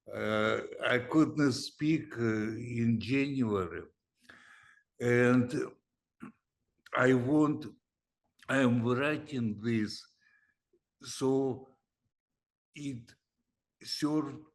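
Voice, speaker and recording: A man with a medium pitch and ordinary pitch variation speaks at a very slow pace. He leaves long, frequent pauses. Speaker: cancer and aging researcher. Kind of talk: podcast interview.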